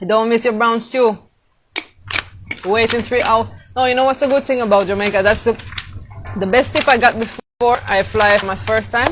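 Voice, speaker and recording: Over music in the background, a woman speaks at a moderate pace with a fairly high pitch and fairly even intonation. She takes long, frequent pauses. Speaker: travel vlogger. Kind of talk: casual live stream talk to camera. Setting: outdoors, windy.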